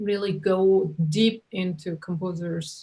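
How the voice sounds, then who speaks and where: A woman's somewhat breathy, medium-pitched voice, fairly even in intonation, at a very slow pace. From South Korea. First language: Korean. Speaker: orchestra conductor. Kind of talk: interview.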